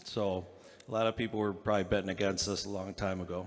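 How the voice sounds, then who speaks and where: A man's fairly low pitch in a monotone, flat intonation. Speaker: father of the bride. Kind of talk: wedding speech. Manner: emotional, hesitant.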